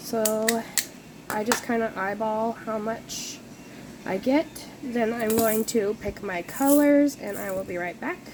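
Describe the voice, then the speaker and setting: With noticeable background noise, a woman talks at a fairly slow pace in a fairly high voice with ordinary pitch variation. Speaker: crafting youtuber. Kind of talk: tutorial. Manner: casual, hesitant with many ums.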